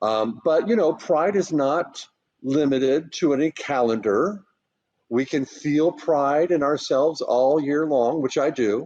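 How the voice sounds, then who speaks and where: A man's fairly high-pitched, ordinary speaking voice at a fairly slow pace, with ordinary pitch variation. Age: 60s. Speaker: writer and HIV activist. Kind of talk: interview.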